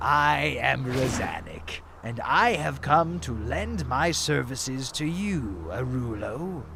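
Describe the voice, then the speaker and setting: A put-on character voice at a fairly slow pace with hardly any pauses, over clear background noise. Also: man, medium pitch for a man. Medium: machinima. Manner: smooth, insinuating, mock-polite.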